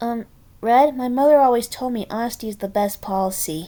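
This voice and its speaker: At a fairly quick pace, the speaker performs a put-on character voice. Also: woman, fairly high pitch for a woman. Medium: read story. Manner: soft, anxious, polite.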